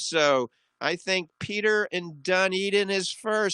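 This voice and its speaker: Against a quiet background, a man with an American accent projects a raised voice, high-pitched and bright, sharp in tone, with a dry, close sound and no echo. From US South, New Orleans. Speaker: radio doctor show host. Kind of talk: radio call-in advice show. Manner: fast.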